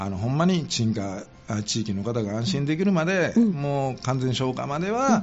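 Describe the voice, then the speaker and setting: A man speaks at a moderate pace with a medium pitch and very wide pitch swings, with audible room echo. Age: 50s. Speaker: volunteer firefighter and public servant. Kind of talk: radio interview. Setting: radio studio.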